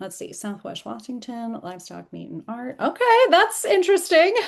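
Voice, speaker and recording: A woman is speaking. The background is quiet. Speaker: sales coach. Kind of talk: live online training. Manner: fast; animated.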